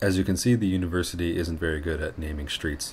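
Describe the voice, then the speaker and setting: A man's very deep, low voice at a fairly quick pace, fairly even in intonation, with noticeable background noise. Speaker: vlogger, law student. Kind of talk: casual vlog narration. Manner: fast.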